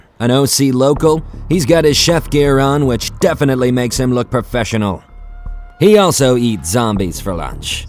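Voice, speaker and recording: Over music in the background, a man talks at a moderate pace with medium pitch. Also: lively intonation. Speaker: voice-over announcer. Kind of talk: TV show intro narration.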